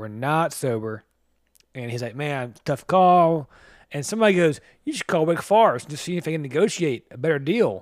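This man has a normal speaking voice with a fairly high pitch, lively intonation, and big swings in loudness at a moderate pace. The recording is very clean, with a silent background. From US South. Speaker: podcast co-host. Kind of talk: casual chat.

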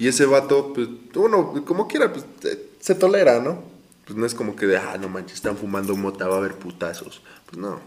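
A man with very wide pitch swings and a fairly quick pace, over noticeable background noise. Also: medium pitch for a man, big swings in loudness. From Mexico, Hidalgo. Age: 20s. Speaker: podcast host. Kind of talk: casual chat.

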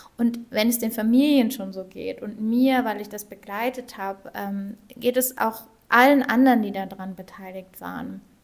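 Using a plain, everyday voice, a woman with a fairly high pitch speaks at a moderate pace and fairly even intonation, hardly pausing, while her loudness swings widely. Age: 30s. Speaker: nonprofit wish coordinator. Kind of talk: casual interview. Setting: office of the organisation.

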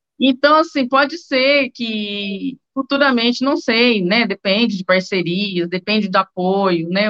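A woman of medium pitch at a fairly slow pace, with ordinary pitch variation. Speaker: journalist, newspaper editor. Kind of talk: casual interview. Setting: video call.

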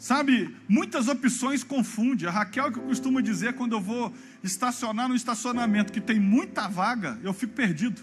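A man's extremely high-pitched voice at a moderate pace, with hardly any pauses and ordinary pitch variation. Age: 40s. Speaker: pastor. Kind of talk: sermon. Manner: animated.

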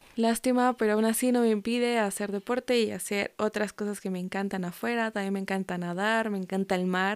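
A woman of medium pitch talks at a fairly quick pace with hardly any pauses and fairly even intonation, on a very clean recording with a silent background and a dry, close sound with no echo. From Mexico. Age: 20s. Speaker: podcast host, university student. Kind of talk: solo podcast monologue. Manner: casual, natural.

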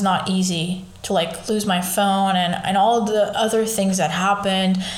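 A woman talks at a moderate pace in a medium pitch with fairly even intonation. There is audible room echo and noticeable background noise. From Portugal, Lisbon. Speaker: podcast host. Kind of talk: casual monologue.

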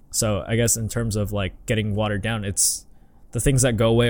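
Speaking at a fairly quick pace, a man with an American accent uses a plain, everyday voice in a fairly low pitch. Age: 20s. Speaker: podcast co-host. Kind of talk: casual chat.

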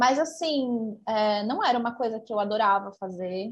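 A woman's unremarkable speaking voice, fairly high in pitch and fairly slow. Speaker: podcast co-host. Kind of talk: casual chat.

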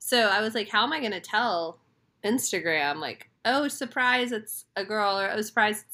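With lively intonation, a woman speaks at a fairly high pitch in an unremarkable speaking voice. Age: 30s. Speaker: podcast co-host. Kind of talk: casual chat.

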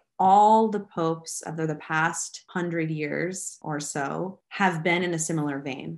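Over a quiet background, a woman speaks at a fairly low pitch with vocal fry and ordinary pitch variation. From United States. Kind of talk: interview.

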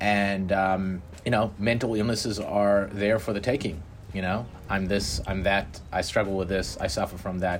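With noticeable background noise behind him, a man talks at a moderate pace, his pitch fairly low and his intonation fairly even. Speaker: podcast host. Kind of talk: casual conversation about personal experiences.

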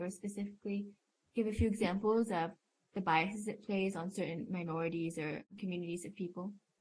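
At a fairly quick pace, a woman with a medium pitch and a somewhat breathy voice speaks with ordinary pitch variation. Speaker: podcast co-host. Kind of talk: interview.

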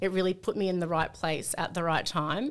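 Speaking at a fairly quick pace, a woman with an Australian accent uses a fairly low pitch and ordinary pitch variation. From Sydney, Australia. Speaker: company employee, former navy member. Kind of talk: casual chat.

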